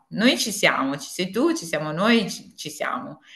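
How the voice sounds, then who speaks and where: Against a quiet background, a woman speaks at a fairly slow pace. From Apulia, southern Italy. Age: 50s. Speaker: tax consultant and home organizing consultant; interview guest. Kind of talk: interview. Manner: halting, many fillers. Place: home room. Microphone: video call.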